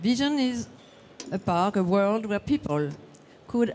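A woman speaks with a French accent at a moderate pace. Her pitch is medium and her tone dark and mellow. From France. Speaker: session moderator, parks association representative. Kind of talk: conference presentation. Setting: conference session with audience. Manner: halting.

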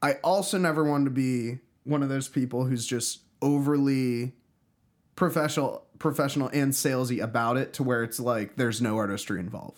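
With an unremarkable speaking voice, a man talks fairly quickly at medium pitch with ordinary pitch variation on a very clean recording with a silent background. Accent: American. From Pittsburgh, US. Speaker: musician. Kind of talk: casual chat.

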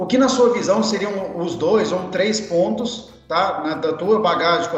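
A man with a high pitch speaks at a moderate pace, his pitch variation ordinary. Audible room echo and noticeable background noise surround him. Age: 20s. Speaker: podcast host. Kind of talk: interview.

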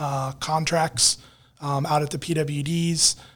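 On a very clean recording with a silent background, a man speaks in an American accent with monotone, flat intonation. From Virginia Beach, Virginia, US. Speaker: public works director. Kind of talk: casual interview.

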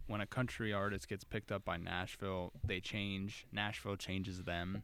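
A man's fairly low voice at a moderate pace. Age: 20s. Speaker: podcast co-host, student athlete. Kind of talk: casual chat. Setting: studio.

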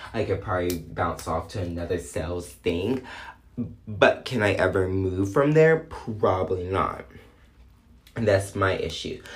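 A man's fairly low, somewhat breathy voice with lively intonation at a fairly slow pace. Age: 20s. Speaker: podcast host. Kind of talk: casual monologue. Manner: animated.

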